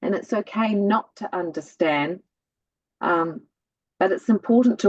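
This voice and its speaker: A woman speaks at a moderate pace with a New Zealand accent, recorded dry and close with no echo. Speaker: spiritual guest. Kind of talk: casual chat.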